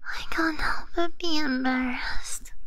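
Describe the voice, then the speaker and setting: Soft-spoken, very slow speech over loud background noise. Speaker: virtual streamer. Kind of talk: casual stream chat. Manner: soft, embarrassed ASMR murmur. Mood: embarrassed, shy.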